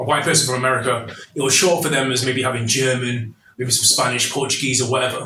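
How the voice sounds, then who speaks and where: A medium-pitched man with a Mancunian accent at a fairly quick pace. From northern England, Manchester (New Moston). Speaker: YouTube commentator. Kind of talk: monologue commentary video.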